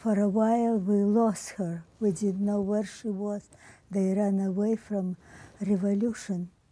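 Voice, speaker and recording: Dark and mellow in tone, the voice comes at a fairly slow pace with a monotone, flat intonation and a dry sound with no echo. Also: woman, medium pitch for a woman. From Ukraine. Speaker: centenarian interviewee; interviewee. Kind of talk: oral history interview. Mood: somber, recalling hardship. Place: home room.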